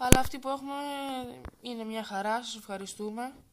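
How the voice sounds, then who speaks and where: Against noticeable background noise, a soft-spoken woman talks with ordinary pitch variation. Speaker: gaming YouTuber. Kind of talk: gameplay commentary. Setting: wearing headphones, recording at home.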